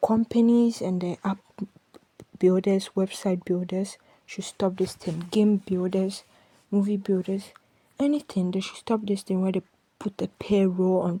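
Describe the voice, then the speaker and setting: With a non-native accent, a woman speaks fairly slowly in a somewhat breathy, dark, mellow tone, her intonation monotone and flat, with long, frequent pauses. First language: not English. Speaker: podcaster. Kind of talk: casual rant. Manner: rambling, halting.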